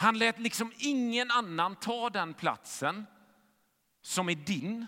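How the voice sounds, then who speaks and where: A man projects a raised voice with a bright, sharp tone. He speaks at a very slow pace. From western Sweden, Gothenburg. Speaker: pastor. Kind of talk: sermon.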